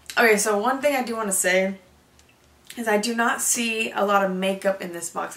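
There is audible room echo as a woman speaks at a moderate pace with ordinary pitch variation. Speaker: beauty vlogger. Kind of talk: unboxing video, casual chat. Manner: chatty, casual. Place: home room. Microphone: camera far.

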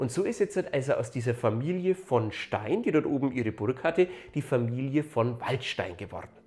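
Here a man speaks at medium pitch with lively intonation. His voice is somewhat breathy. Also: moderate pace. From Upper Franconia, Germany. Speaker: local history YouTuber. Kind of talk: educational video narration. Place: home room. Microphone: lapel.

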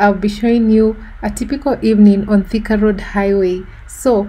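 A woman speaks at a fairly slow pace, her tone dark and mellow and somewhat breathy. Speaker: vlogger. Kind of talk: casual vlog chat. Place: car.

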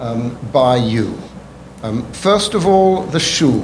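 A man with an English accent speaks very slowly with lively intonation. There is audible room echo and noticeable background noise. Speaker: rabbi. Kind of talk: testimony. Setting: public hearing. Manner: formal.

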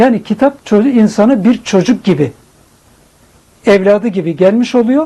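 A man's high, dark, mellow voice with ordinary pitch variation, at a moderate pace. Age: 60s. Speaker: poet; retired provincial director, poetry association president. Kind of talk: interview answer.

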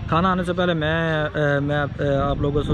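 This is a man's voice with a dry sound and no echo. Noticeable background noise runs under it. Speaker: travel vlogger. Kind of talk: casual vlog chat. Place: cafe. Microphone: phone near.

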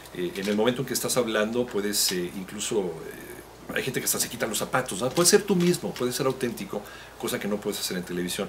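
Over noticeable background noise, a man at a medium pitch races along at a very fast pace with lively intonation. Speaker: radio announcer. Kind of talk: interview answer. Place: office. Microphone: handheld.

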